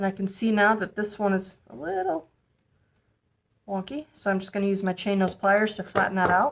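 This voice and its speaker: A woman speaks in a plain, everyday voice at a medium pitch. Her pace is moderate and her intonation fairly even. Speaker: metalsmithing teacher. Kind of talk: tutorial.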